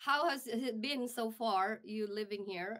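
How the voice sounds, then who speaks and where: A woman with an American accent speaks at a medium pitch with lively intonation. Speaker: radio host. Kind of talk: interview. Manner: halting.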